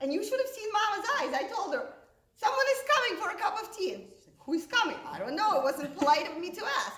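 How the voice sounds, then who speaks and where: A woman talks at a very fast pace with an extremely high pitch, very wide pitch swings and big swings in loudness. Room echo is audible. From Russia, Moscow. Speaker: stand-up comedian. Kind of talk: stand-up.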